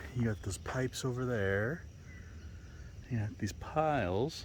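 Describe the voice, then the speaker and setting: A man's fairly slow, medium-pitched speech with lively intonation and audible room echo. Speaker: outdoor vlogger. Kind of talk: casual vlog narration while hiking. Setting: outdoors on a hiking trail. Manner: loud.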